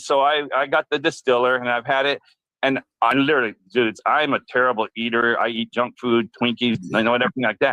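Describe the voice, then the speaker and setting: Here is a man with a normal speaking voice at a medium pitch. He talks at a fairly quick pace with fairly even intonation. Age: 60s. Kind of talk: casual chat.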